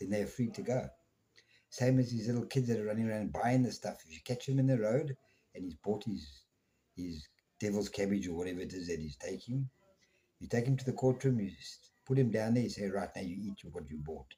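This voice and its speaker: At a fairly quick pace, a man with a fairly low pitch and a dark, mellow, somewhat breathy tone speaks with lively intonation and big swings in loudness. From South Africa. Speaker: podcast host. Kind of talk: opinion monologue. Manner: slurred at times; animated.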